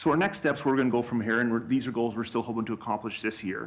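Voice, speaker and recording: On a very clean recording with a silent background, a man speaks with a Canadian accent. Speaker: school principal. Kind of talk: presentation. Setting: board meeting. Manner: fast.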